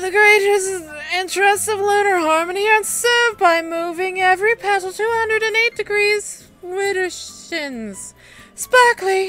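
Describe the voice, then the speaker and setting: A woman speaks in a put-on character voice at an extremely high pitch and a moderate pace, with faint music in the background. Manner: pompous, affected.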